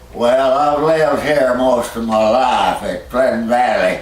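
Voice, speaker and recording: A man with a Texan accent and medium pitch speaks at a very slow pace, with noticeable background noise behind him. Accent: Texan Southern US. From Texas. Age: 80s+. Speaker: longtime local resident. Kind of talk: interview answer. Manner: slow, hesitant.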